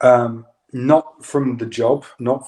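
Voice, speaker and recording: In a British accent, a man talks at a medium pitch with a dark, mellow tone and a monotone, flat delivery. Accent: British accent, remarked on. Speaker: yoga instructor. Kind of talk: casual chat. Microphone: audio issues, clicking and popping.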